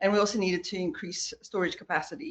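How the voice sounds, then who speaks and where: A woman with a South African accent talks at a fairly quick pace in a medium pitch. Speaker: transportation project engineer. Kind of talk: project presentation at town board meeting.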